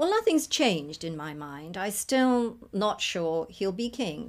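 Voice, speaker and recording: A woman with a plain, everyday voice talks at medium pitch and a fairly slow pace. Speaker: astrologer. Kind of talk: documentary interview.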